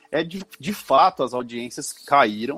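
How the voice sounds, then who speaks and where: Speaking in an ordinary speaking voice, a man uses lively intonation at a fairly slow pace, the sound dry and close with no echo. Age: 40s. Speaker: advertising media director. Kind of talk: interview.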